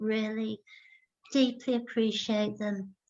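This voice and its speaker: A woman with an English accent, fairly high in pitch, very slow and monotone, with flat intonation. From Iraq and England (Baghdad childhood, moved to England 1970s). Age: 60s. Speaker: artist. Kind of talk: Q&A at online lecture.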